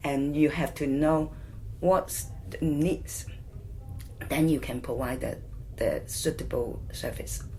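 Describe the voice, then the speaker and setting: A woman with a Hong Kong accent speaks at a very slow pace, leaving long, frequent pauses. There is audible room echo. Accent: Hong Kong Cantonese-accented English. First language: Cantonese. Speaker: community charity worker. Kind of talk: oral history interview. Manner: halting.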